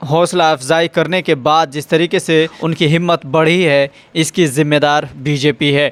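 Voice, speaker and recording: A man's fairly high-pitched voice stays monotone and flat. The sound is dry and close, with no echo. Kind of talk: news-style narration, video presenter voiceover.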